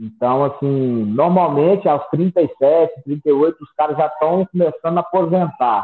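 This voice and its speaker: Speaking at a very slow pace, a man keeps a fairly high pitch with ordinary pitch variation. He leaves hardly any pauses. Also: big swings in loudness. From Brazil, Minas Gerais (Sete Lagoas). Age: 30s. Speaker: MMA fighter. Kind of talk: interview.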